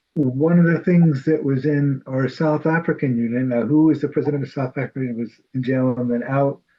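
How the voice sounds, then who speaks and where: A man with a New York accent talks at a fairly quick pace with hardly any pauses, his pitch fairly high and his intonation fairly even. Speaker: Bible study group member. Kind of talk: casual group discussion.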